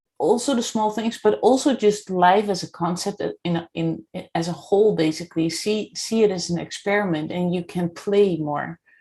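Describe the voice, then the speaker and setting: A woman with a Dutch accent speaks at a moderate pace, with hardly any pauses. Her medium pitch shows ordinary variation, and her tone is dark and mellow. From Netherlands. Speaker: podcast host and coach. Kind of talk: interview.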